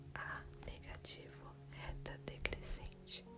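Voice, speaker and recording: Music is playing behind the speaker. A woman whispers very slowly. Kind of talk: ASMR study-memorization video to help sleep. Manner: soft-spoken and whispered, with mouth sounds.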